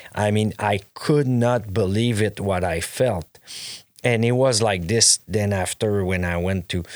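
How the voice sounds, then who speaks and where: With a Quebec accent, a man speaks at a fairly slow pace with ordinary pitch variation. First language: French. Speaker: clothing brand owner. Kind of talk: casual interview chat. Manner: halting, many fillers and restarts.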